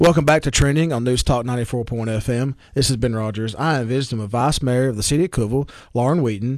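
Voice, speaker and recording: Someone with a Southern US accent speaks at a very fast pace. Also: man. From Baxter, Tennessee. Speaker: radio host. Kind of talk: radio interview. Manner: chatty, friendly.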